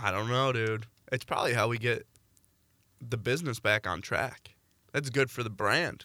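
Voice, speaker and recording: A man's medium-pitched voice with a bright, sharp tone, fairly even intonation, a moderate pace and long, frequent pauses, on a very clean recording with a silent background. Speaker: college student podcast co-host. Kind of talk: casual chat. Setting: studio. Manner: loud.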